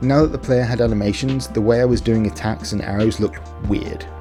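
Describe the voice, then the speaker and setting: Music can be heard behind the speech. A man speaks fairly quickly. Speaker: indie game developer. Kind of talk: casual devlog narration.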